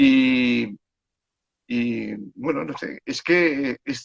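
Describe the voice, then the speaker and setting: With ordinary pitch variation, a man talks at a medium pitch in a dry, close sound with no echo. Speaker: children's book author and storyteller. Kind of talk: casual chat. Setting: Instagram live video call. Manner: calm.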